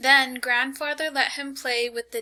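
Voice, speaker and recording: Projecting her voice, a woman speaks fairly slowly at a high pitch in a bright, sharp tone. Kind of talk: storytelling read.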